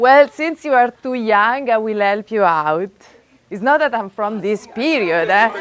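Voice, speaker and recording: Speaking at a fairly slow pace, a woman with an Italian accent uses lively intonation at a fairly high pitch. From Italy, Florence. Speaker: physics professor. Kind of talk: lecture. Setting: classroom with live audience. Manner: animated.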